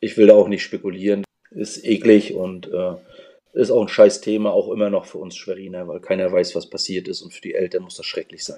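A man speaks at a moderate pace, his loudness swinging widely up and down. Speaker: nurse and former punk band singer. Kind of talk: casual interview chat.

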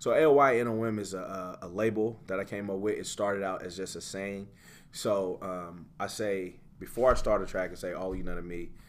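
A man speaks at a fairly quick pace with a fairly low pitch and fairly even intonation, with audible room echo. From US South, Greenville, Mississippi, partly raised in Sacramento. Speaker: rapper. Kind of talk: casual interview chat.

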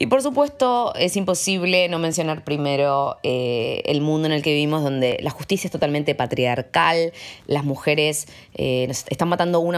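This woman's voice is very deep and low in pitch, with ordinary pitch variation and a moderate pace. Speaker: podcast host. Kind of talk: scripted monologue with recommendations.

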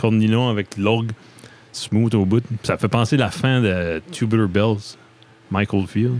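A man with a fairly low pitch speaks very slowly, leaving long, frequent pauses, his loudness very even throughout. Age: 30s. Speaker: podcast host. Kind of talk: casual interview chat. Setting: basement studio. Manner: animated.

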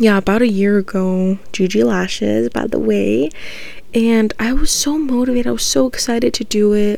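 A woman speaking at a moderate pace over noticeable background noise. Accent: American. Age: 20s. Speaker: podcast host. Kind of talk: casual monologue.

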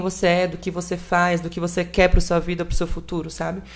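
A woman speaks with music in the background. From northern Espírito Santo, Brazil. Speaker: content creator and model. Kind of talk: casual podcast interview.

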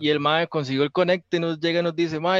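In a Costa Rican accent, a man with a fairly high pitch speaks against a quiet background, the sound dry and close with no echo. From Costa Rica, Belén. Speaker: rock musician. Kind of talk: casual chat.

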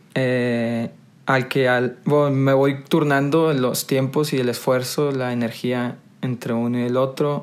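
Over music in the background, a man with a medium pitch speaks at a very slow pace in a monotone, flat intonation. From Monterrey, northern Mexico. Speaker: podcast co-host, recycling business worker. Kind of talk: casual chat.

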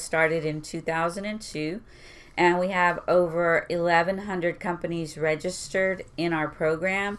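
A woman with a normal speaking voice, fairly low pitch and a fairly slow pace. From Houston, Texas (East End). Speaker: port employee. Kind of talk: casual interview chat.

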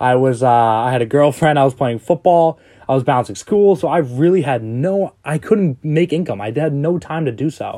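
With ordinary pitch variation, a man's voice carries a dark, mellow tone. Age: 20s. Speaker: entrepreneur and affiliate marketer podcaster. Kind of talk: casual monologue. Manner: halting, many fillers.

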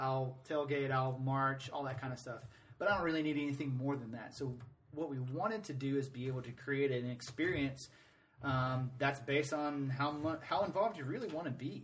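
A man with an American accent speaks at a fairly quick pace and a fairly high pitch, somewhat breathy, with fairly even intonation. Audible room echo surrounds his voice. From Atlanta, US South. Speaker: soccer supporters group president. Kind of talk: casual interview.

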